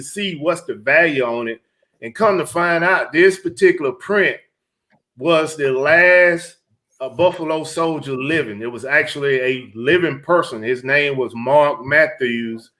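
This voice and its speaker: Bright and sharp in tone, a man with a Southern US accent speaks fairly slowly at a fairly high pitch with ordinary pitch variation. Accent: Southern country. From Georgia, US South. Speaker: reseller livestream host, retired military. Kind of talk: casual live stream chat. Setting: live stream.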